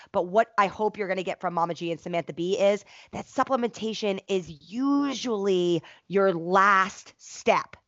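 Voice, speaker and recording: A woman has an ordinary speaking voice, with medium pitch, ordinary pitch variation and a moderate pace. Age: 30s. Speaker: fitness professional and podcast co-host. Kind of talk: casual chat.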